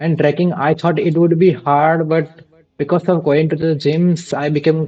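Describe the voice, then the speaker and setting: A man with an Asian accent, fairly high-pitched, at a moderate pace, in a monotone, flat intonation. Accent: Asian-sounding English. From India. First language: Gujarati. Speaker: vtuber streamer. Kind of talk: casual chat.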